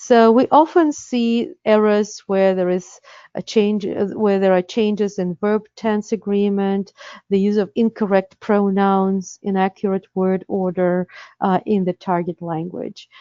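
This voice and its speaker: A woman's medium-pitched voice in a Russian accent, fairly slow, with fairly even intonation. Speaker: interpreter certification director. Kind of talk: webinar presentation. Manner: hesitant, many fillers.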